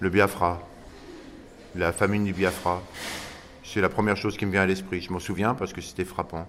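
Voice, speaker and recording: A man's very deep, low voice at a moderate pace, monotone and flat in intonation, with long, frequent pauses. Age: 60s. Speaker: interviewee. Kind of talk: radio interview.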